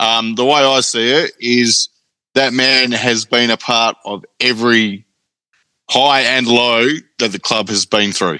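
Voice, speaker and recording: The man has an Australian accent and a bright, sharp tone at medium pitch. His intonation stays fairly even as he speaks fairly slowly. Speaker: football fan. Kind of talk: casual chat. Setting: video call. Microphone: microphone technical problem.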